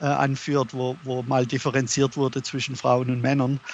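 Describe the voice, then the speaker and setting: A man's fairly high voice, monotone and flat, at a moderate pace. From Germany. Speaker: author. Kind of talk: interview. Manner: halting.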